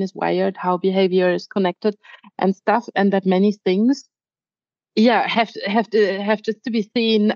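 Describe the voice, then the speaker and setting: At a fairly slow pace, a woman with a German accent speaks at medium pitch with fairly even intonation. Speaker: podcast host, horse trainer. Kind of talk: casual chat.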